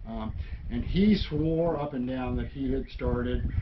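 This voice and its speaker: Noticeable background noise accompanies a voice with an American accent. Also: man. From US South, Alabama. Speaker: worm farmer and musician. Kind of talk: casual interview. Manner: halting, many fillers. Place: garage. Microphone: camera far.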